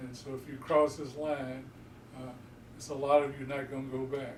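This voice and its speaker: A man with an American accent speaks at a moderate pace in a monotone, flat intonation. Noticeable background noise and audible room echo surround him. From Houston, Texas. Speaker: community elder. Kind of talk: oral history interview.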